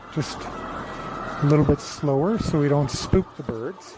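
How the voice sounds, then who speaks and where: A man talks in a fairly high pitch, with noticeable background noise around him. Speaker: farmer. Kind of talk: virtual tour. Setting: barn. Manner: whispering.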